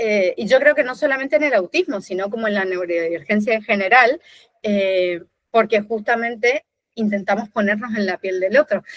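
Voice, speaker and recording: Her fairly high voice moves through ordinary pitch variation at a moderate pace, captured dry and close with no echo. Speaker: designer. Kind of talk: casual chat.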